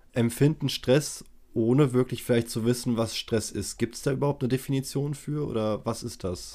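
On a very clean recording with a silent background, a man speaks at medium pitch and a moderate pace in a dark, mellow tone with fairly even intonation. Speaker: podcast host. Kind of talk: interview.

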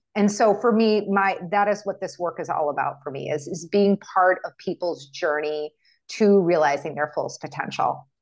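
A normal speaking voice with an American accent, ordinary pitch variation and a moderate pace. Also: woman, medium pitch for a woman. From United States. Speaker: functional medicine physician. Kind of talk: interview.

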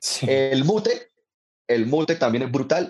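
A man talks with lively intonation. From Colombia, Bucaramanga (Santander). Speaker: comedian. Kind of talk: casual chat. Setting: video call.

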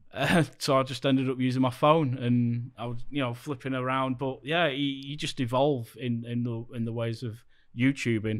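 A man speaks at a moderate pace with a Lancashire accent, his pitch medium and his intonation flat and monotone. The recording is very clean, with a silent background. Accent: Lancashire northern English. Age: 40s. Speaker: theme park YouTuber. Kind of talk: casual chat.

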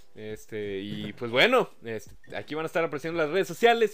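This man talks at a very fast pace. The words come rapidly. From Monterrey, Mexico. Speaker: podcast host. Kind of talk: show outro; casual chat.

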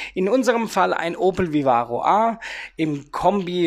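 Delivered at a fairly slow pace with lively intonation, a plain, everyday voice comes through on a very clean recording with a silent background. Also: man. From Rhein-Neckar area near Heidelberg, Germany. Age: 30s. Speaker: podcast host, youth worker and DJ. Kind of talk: casual solo podcast monologue.

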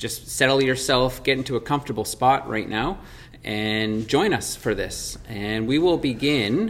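An ordinary speaking voice from a man, at a fairly slow pace with ordinary pitch variation. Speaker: podcast host and church leader. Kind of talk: guided meditation. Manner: slow, calm and soft-spoken, with pauses.

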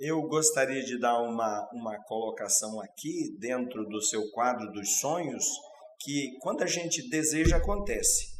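A man's medium-pitched voice with lively intonation at a fairly slow pace, amid noticeable background noise and audible room echo. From Paraná, Brazil. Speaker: company interview host. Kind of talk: interview. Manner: formal.

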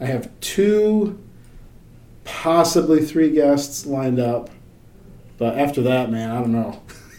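With audible room echo, a man speaks at a very slow pace and a fairly high pitch, using lively intonation and long, frequent pauses. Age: 40s. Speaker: podcast host at a metal fabrication company. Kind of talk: casual chat.

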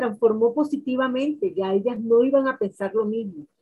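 Her voice has a dark, mellow tone, and this woman talks at a moderate pace with lively intonation. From Colombian Caribbean coast, Valledupar. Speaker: women's rights consultant and activist. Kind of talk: interview.

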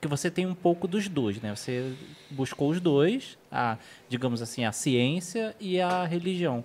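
A plain, everyday voice from a man, fairly high in pitch, fairly slow in pace, with lively intonation. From Rio de Janeiro, Brazil. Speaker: podcast co-host. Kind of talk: casual chat.

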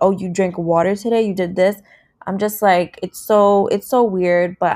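On a very clean recording with a silent background, a woman talks in a medium-pitched voice. Her intonation is monotone and flat. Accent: New York. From New York City, Brooklyn. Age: 20s. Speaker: podcast host. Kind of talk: solo podcast monologue. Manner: casual.

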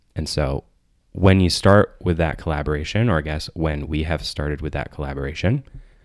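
A man's very deep, low voice with vocal fry, in an American accent, at a moderate pace with ordinary pitch variation. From Michigan, US. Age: 20s. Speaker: therapist. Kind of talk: casual chat.

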